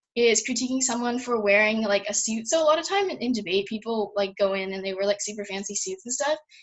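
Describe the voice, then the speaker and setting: A somewhat breathy woman, fairly high in pitch and fairly quick in pace. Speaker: debate camp instructor. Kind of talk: lecture. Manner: fast.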